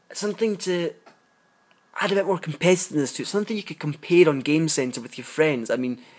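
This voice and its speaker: With a British accent, a man talks at a very fast pace in a high pitch and lively intonation. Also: big swings in loudness. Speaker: app reviewer. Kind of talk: casual review monologue.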